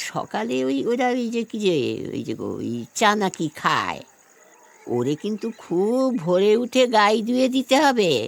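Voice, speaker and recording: Putting on a character voice, a woman speaks at a fairly slow pace in a medium pitch with very wide pitch swings. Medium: audio drama. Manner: doting, fussy, rambling.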